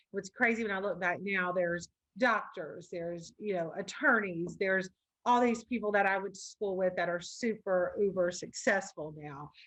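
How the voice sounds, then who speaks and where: At a moderate pace, a woman with a Louisiana accent speaks in a medium pitch with ordinary pitch variation. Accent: Louisiana Southern. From US South, Baker, Louisiana. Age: 40s. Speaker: loan officer and business coach. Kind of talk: interview conversation.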